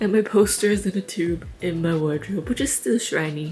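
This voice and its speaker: With music playing in the background, a woman talks at a fairly quick pace. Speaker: crochet vlogger. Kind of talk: casual vlog talk. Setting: at home, windows open. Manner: rambling, chatty.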